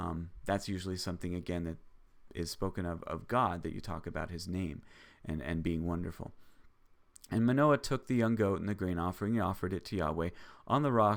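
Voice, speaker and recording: On a very clean recording with a silent background, a man with a very deep, low pitch talks at a fairly quick pace. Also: ordinary pitch variation. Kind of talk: live bible teaching stream. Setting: live stream.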